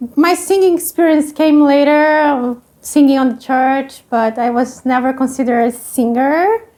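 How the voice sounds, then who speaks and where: A woman's high voice with ordinary pitch variation, at a fairly slow pace. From southern Brazil (Paraná). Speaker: immigrant interviewee. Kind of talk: documentary interview. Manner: halting, with hesitations.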